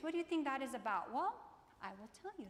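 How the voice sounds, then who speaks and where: The delivery is animated in tone and very fast in pace. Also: woman. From Croatia. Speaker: keynote speaker, business professor. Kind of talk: keynote speech. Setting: stage with audience.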